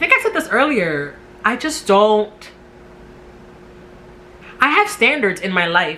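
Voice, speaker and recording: At a fairly slow pace, a woman speaks with a New York accent. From New York City. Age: 30s. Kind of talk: casual talk to camera. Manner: talkative.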